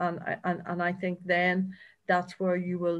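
A woman with a Northern Irish accent speaks at a fairly slow pace and fairly low pitch. Her intonation is monotone and flat, over a quiet background. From Northern Ireland, County Down. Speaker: agency chief executive. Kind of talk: interview.

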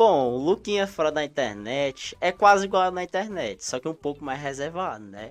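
At a moderate pace and in a Cearense accent, the speaker uses very wide pitch swings against a quiet background. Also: man. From Ceará, Brazilian Northeast. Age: 20s. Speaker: content creator. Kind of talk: casual interview chat. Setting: studio, live stream.

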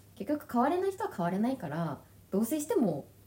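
Over noticeable background noise, a woman talks at a fairly quick pace. Her high voice moves in very wide pitch swings. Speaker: podcast co-host. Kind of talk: casual chat.

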